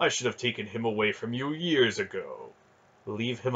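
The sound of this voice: Lively intonation marks this one, read in an unforced reading voice.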